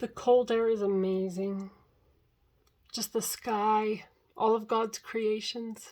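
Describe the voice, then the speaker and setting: The woman's voice sits at a fairly high pitch. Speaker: vlogger documenting a fast. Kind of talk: casual video diary.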